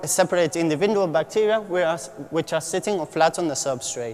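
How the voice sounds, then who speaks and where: A man's high voice with ordinary pitch variation over noticeable background noise. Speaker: PhD student presenting research. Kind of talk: conference talk. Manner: fast; halting.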